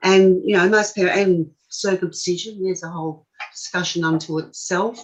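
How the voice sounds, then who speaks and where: A woman with an Australian accent speaks at a fairly low pitch and a moderate pace, her intonation fairly even. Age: 60s. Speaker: forced adoption survivor. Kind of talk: interview. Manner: halting.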